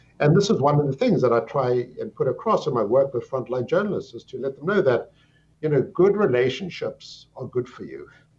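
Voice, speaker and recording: Somewhat breathy and fairly high-pitched, a man with a South African accent speaks with very wide pitch swings. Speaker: psychiatry professor. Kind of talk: interview. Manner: articulate, explanatory.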